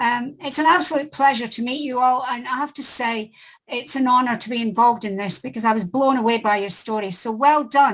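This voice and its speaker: Talking very fast in a Scottish accent, a woman uses a high pitch with ordinary pitch variation. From Scotland. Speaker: author and editor. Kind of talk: casual chat.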